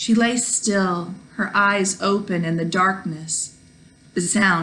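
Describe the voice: Ordinary rise and fall in pitch during plain reading aloud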